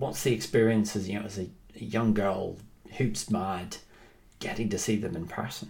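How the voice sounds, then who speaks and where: This man's voice is fairly low and somewhat breathy. He leaves long, frequent pauses. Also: ordinary pitch variation, moderate pace. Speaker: basketball podcast host. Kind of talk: interview.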